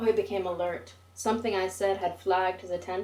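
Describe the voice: Plain reading aloud is delivered here with fairly even intonation.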